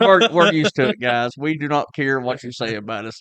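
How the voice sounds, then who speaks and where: A man talks at a moderate pace in a bright, sharp tone with lively intonation. The sound is dry and close with no echo, and the background is quiet. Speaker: gun channel host. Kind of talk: casual chat.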